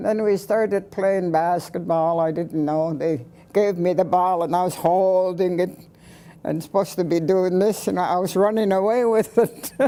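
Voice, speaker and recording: At a moderate pace, a woman speaks at a medium pitch with a dark, mellow tone. Her intonation is fairly even. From British Columbia, Canada. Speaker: residential school survivor. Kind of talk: testimony. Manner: halting.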